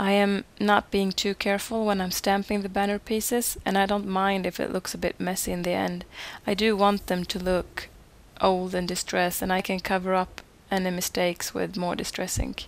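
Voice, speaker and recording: Delivery moves at a moderate pace. Its intonation stays flat and monotone. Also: woman, medium pitch for a woman. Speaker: card maker. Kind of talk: craft tutorial voice-over.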